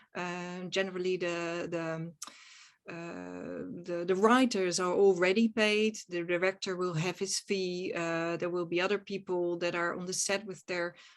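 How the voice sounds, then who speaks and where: Her intonation monotone and flat, a woman speaks at a fairly slow pace and fairly low pitch. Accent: Dutch. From Netherlands. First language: Dutch. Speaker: actress and film producer. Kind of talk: interview conversation. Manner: hesitant, searching for words.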